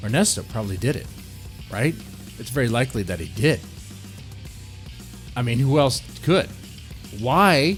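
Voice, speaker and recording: Music plays in the background, and the speech has long, frequent pauses. Loudness swings a lot, and the pitch swings very widely. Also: man, medium pitch for a man, moderate pace. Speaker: radio-style true crime show host. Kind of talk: true crime podcast / radio show narration. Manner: conversational, speculative, rhetorical questions.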